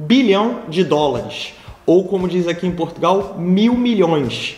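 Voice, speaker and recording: Through noticeable background noise and audible room echo, a man speaks at a high pitch and a fairly slow pace. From Brazil, Rio de Janeiro. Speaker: business manager of an innovation hub, video host. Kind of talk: casual video commentary / news review. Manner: hesitant, many fillers and restarts.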